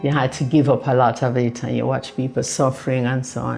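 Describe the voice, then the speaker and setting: A woman with vocal fry and a very deep, low pitch for a woman speaks at a moderate pace. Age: 80s+. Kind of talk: interview answer.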